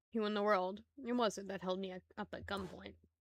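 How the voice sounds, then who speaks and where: Using a raspy, put-on character voice, a woman speaks at a moderate pace and a medium pitch. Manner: gruff.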